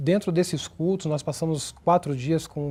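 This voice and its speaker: The voice carries a dark, mellow tone. It moves at a fairly slow pace with fairly even intonation. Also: man. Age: 30s. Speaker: church member giving testimony. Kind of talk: testimony. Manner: halting.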